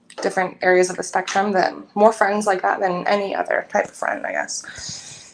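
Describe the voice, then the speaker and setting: A woman talks with hardly any pauses against noticeable background noise. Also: moderate pace. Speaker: guest. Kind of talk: casual chat.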